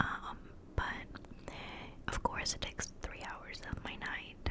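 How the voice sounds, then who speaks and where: Whispering very slowly, a woman is heard through noticeable background noise. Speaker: ASMR creator and streamer. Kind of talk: casual talk to camera, catch-up ramble. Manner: whispered, soft-spoken, rambling.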